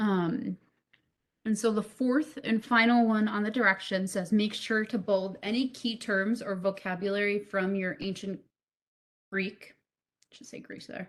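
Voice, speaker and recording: Fairly slow and fairly even in intonation, a woman talks in an unremarkable speaking voice at medium pitch. Her loudness swings widely. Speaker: teacher. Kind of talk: online class lesson. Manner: casual, filler words.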